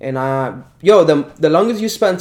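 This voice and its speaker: A man with a Spanish accent talks in a fairly high pitch, his intonation lively. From Dominican Republic. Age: 20s. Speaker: calisthenics athlete and personal trainer. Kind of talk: casual interview. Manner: animated.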